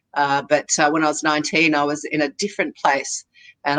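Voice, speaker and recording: The voice, with an Australian accent, has a dry, close sound with no echo. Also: woman. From Australia, Sydney. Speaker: makeup artist. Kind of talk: interview. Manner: halting.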